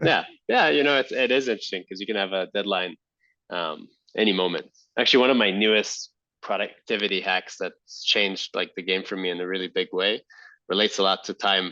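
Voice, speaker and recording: Against a quiet background, a man with an Israeli accent speaks at a fairly quick pace, the sound dry and close with no echo. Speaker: entrepreneur and army veteran. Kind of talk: podcast interview. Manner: halting, many fillers.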